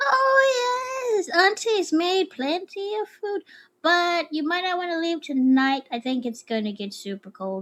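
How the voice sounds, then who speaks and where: A woman does a squeaky, put-on character voice at an extremely high pitch with very wide pitch swings. She speaks at a fairly slow pace. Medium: actual play. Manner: friendly, folksy.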